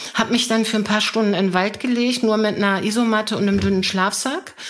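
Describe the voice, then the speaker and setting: Noticeable background noise sits behind this woman's voice. Her pitch is medium and her intonation fairly even. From Germany, Hannover. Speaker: mental coach. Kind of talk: interview.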